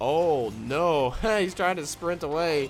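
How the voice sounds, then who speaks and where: Music plays behind a man speaking. His pitch is high and his intonation lively. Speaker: game commentator. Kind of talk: esports replay commentary.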